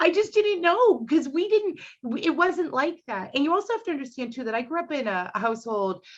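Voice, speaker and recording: A woman speaks with hardly any pauses at a high pitch. Her pitch swings are very wide. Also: fairly quick pace, quiet background. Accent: Boston. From Boston, Dorchester. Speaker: comedian. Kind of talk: casual chat. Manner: animated.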